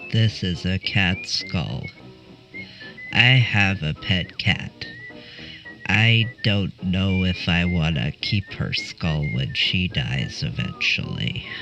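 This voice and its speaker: Over clear background music, a man uses a cartoonish character voice pitched very deep and low, speaking at a very slow pace. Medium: puppet.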